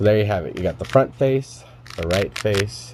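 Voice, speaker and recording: A man's voice makes very wide pitch swings. Noticeable background noise is present. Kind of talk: tutorial explanation to camera. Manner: casual, many filler words.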